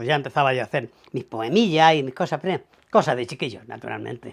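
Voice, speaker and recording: This man's voice sits fairly high and carries vocal fry. His pitch variation is ordinary. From Spain, Almería (Andalusia). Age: 80s+. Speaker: writer. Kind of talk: interview testimony.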